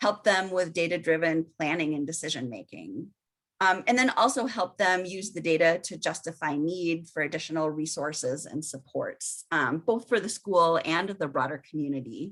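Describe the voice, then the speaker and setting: A woman with a Minnesota accent speaks at a fairly low pitch and moderate pace, with hardly any pauses. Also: lively intonation. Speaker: research and evaluation presenter. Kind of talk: webinar presentation. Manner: frequent filler ums.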